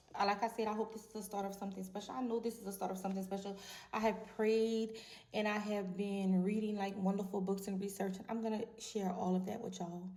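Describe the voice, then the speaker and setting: Over noticeable background noise and audible room echo, a woman with a medium pitch speaks very fast in a monotone, flat intonation, her loudness swinging widely. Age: 40s. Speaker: vlogger. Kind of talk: casual monologue to camera.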